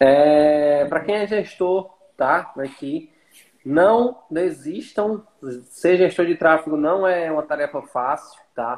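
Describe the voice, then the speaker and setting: Speaking very slowly, a man uses a fairly high pitch with ordinary pitch variation. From Brazil, Fortaleza. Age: 30s. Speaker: traffic manager. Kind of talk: casual chat.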